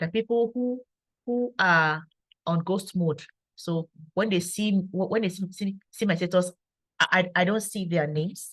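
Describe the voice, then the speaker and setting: Somewhat breathy, a woman at medium pitch speaks with ordinary pitch variation and long, frequent pauses, the sound dry and close with no echo. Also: moderate pace. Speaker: engineer and network marketer giving testimony. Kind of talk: testimony. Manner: calm, quiet.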